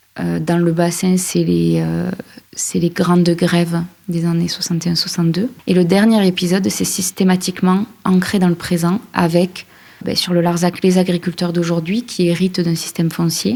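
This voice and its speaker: At a moderate pace, the speech keeps fairly even intonation and a dark, mellow tone. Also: woman, fairly low pitch for a woman. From France, Aveyron. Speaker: journalist and podcast creator. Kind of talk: interview.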